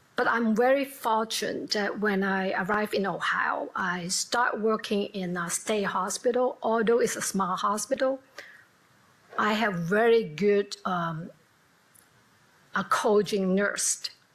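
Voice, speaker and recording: In a Hong Kong accent, a woman speaks at a fairly slow pace with a medium pitch and ordinary pitch variation, with noticeable noise in the background. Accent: Hong Kong Cantonese-accented English. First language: Cantonese. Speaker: nurse. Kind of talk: panel discussion.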